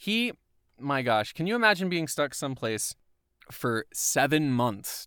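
A man speaks with an American accent and a bright, sharp tone. His pitch swings very widely. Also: very clean recording, silent background. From US South, Atlanta area, Georgia. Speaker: podcast co-host, voiceover artist. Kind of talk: casual chat. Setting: recording booth. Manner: animated.

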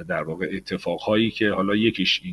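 The voice has a bright, sharp tone with ordinary pitch variation. It moves at a very fast pace. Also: man. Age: 40s. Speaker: business development manager. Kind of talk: interview.

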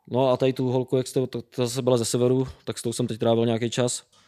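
Very fast and monotone, with flat intonation, a man speaks at a medium pitch in a dark, mellow tone. The sound is dry and close, with no echo. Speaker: traveller. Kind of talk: casual chat.

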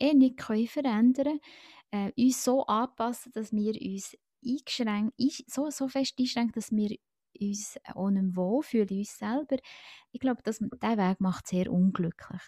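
Her voice has a dark, mellow tone, somewhat breathy, at a fairly high pitch. The woman is recorded with a dry, close sound and no echo. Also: very clean recording, silent background. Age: 40s. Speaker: podcast guest, friend of the host. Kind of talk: casual chat.

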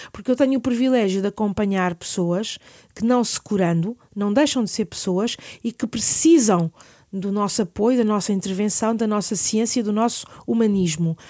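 In a very clean recording with a silent background, a woman with a Lisbon accent speaks at a moderate pace and medium pitch, her tone dark and mellow with ordinary pitch variation. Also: dry, close sound with no echo. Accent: European Portuguese, Lisbon. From Portugal, Lisbon. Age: 50s. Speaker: palliative care physician. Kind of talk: interview.

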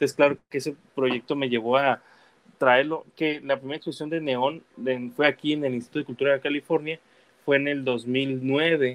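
A man's fairly high voice stays monotone and flat while he keeps a moderate pace. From Guadalajara, Mexico, raised partly in the US. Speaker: muralist and visual artist. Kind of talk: casual interview. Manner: halting, many fillers and repetitions.

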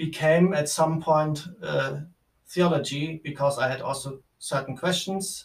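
Someone with a German accent speaks at a very slow pace with fairly even intonation. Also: man. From Germany. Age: 20s. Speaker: theology student. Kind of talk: interview. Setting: office. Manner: halting.

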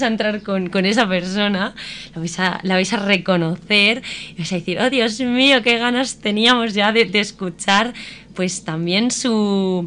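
Noticeable background noise sits behind the voice. Delivery is fairly slow, and pitch variation is ordinary. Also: woman. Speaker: radio host. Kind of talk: casual chat. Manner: animated.

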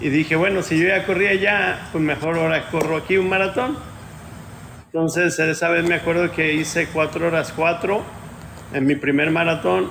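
With very even loudness and fairly even intonation, a man talks at a moderate pace in a high voice over noticeable background noise. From Mexico, Ciudad Guzmán, Jalisco. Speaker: ultramarathon runner. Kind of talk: interview.

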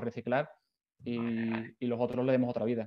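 A man rattles off his words at a very fast pace. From Spain, Seville. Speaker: startup founder and CEO. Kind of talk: interview. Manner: halting, many repeated words.

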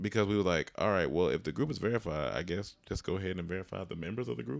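A man's very deep, low pitch with vocal fry, on a very clean recording with a silent background. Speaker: comedian and actor. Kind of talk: casual chat. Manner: casual, halting.

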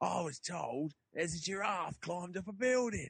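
Using a put-on character voice with an Australian accent, a man talks at a high pitch and a moderate pace.

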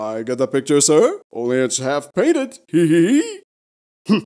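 A man with a fairly high pitch does a put-on character voice at a fairly slow pace. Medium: comedy sketch. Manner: jaunty, wisecracking, chuckling.

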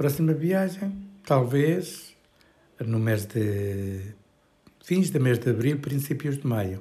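Amid audible room echo, a man speaks at a very slow pace with long, frequent pauses, his somewhat breathy voice set at a fairly high pitch with lively intonation. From Portugal, Trás-os-Montes (Bragança). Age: 70s. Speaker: retiree interviewee. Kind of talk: interview. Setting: home kitchen. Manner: halting.

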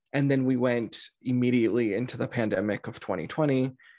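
A man speaks in a normal speaking voice at a medium pitch and moderate pace, in a very clean recording with a silent background. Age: 20s. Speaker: spiritual life coach. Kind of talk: interview.

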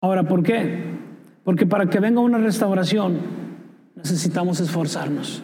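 A man's high-pitched voice at a moderate pace, very even in loudness, with long, frequent pauses, audible room echo and noticeable background noise. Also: ordinary pitch variation. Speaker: pastor. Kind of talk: sermon.

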